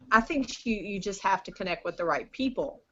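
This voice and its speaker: A woman talks in an ordinary speaking voice. Her medium pitch has ordinary pitch variation. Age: 50s. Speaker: business owner selling lamps to retailers. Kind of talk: casual interview chat. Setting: video call.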